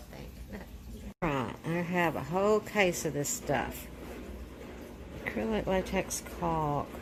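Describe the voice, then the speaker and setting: Over noticeable background noise, a woman with a fairly low pitch and lively intonation speaks at a very slow pace with long, frequent pauses. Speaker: DIY home remodeling vlogger. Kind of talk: casual DIY vlog narration.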